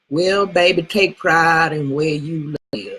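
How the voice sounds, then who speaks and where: The speaker talks at a very slow pace. The voice comes in a South Texas accent. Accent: Southern Texas. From Southern Texas. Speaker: speaking to an audience. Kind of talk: casual, profane. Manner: slurs words.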